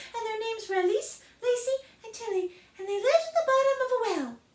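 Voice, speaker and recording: Squeaky and extremely high-pitched, a woman's put-on character voice races at a very fast pace with big swings in loudness. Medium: read story.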